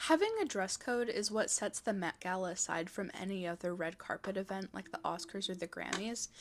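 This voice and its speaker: A woman with an unremarkable speaking voice at medium pitch, ordinary pitch variation, a fairly quick pace and hardly any pauses. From Texas. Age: 20s. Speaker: fashion YouTuber. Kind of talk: scripted video essay narration.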